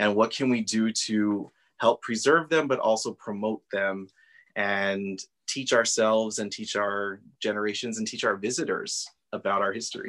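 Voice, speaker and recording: Over a quiet background, a man talks in a plain, everyday voice with fairly low pitch, ordinary pitch variation and a moderate pace. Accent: American. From Socorro, Texas. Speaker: nonprofit board member and educator. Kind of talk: interview.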